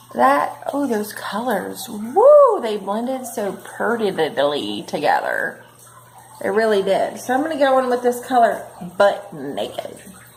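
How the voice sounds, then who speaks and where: A woman's high voice with very wide pitch swings at a fairly slow pace, plus audible room echo and noticeable background noise. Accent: American. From northern Kentucky / Cincinnati area. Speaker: beauty vlogger. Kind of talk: makeup tutorial. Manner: animated.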